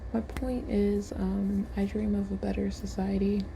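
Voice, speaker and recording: Soft-spoken, fairly slow speech with noticeable background noise. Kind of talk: casual talk to camera, ASMR-style.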